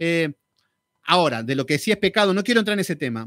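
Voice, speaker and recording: A man speaks with very wide swings in pitch, his voice dry with no echo against a quiet background. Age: 40s. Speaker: Bible teacher. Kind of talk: Bible study lecture. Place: studio. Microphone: studio mic.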